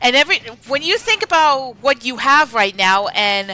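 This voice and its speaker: Against music in the background, a raised, projected voice in an American accent swings very widely in pitch at a fairly slow pace. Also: woman. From Pennsylvania, US. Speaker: streamer. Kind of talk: casual live-stream chat while gaming. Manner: hesitant, many fillers and restarts.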